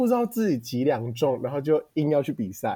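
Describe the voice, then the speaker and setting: The man's tone comes across as animated. He keeps a moderate pace. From Taiwan. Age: 20s. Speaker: podcast co-host, university student. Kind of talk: casual chat. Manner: animated, laughing often.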